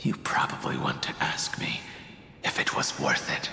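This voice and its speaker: Whispering at a moderate pace, a man performs a cartoonish character voice with a clear echo. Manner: measured, thoughtful.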